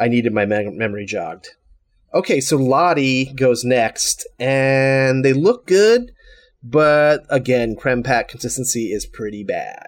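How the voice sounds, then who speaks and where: At a fairly slow pace and with ordinary pitch variation, this is a normal speaking voice. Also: man, medium pitch for a man. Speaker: guest co-host. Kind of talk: casual chat.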